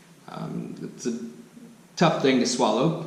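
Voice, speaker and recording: At a moderate pace, a man with an American accent and a medium pitch speaks amid audible room echo and noticeable background noise. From United States. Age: 20s. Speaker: expat vlogger. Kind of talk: casual vlog monologue. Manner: hesitant, many fillers.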